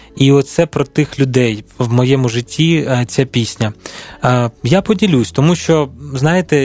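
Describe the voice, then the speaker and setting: Over music in the background, the voice shows ordinary pitch variation in a dry, close recording with no echo. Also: man. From Ukraine, Dnipro. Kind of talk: radio interview. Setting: studio.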